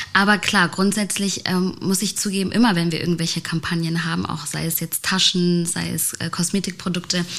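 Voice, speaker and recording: At a moderate pace, a woman with a fairly low pitch speaks in a monotone, flat manner over noticeable background noise. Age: 20s. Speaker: podcast host, agency CEO. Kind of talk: casual interview. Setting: studio.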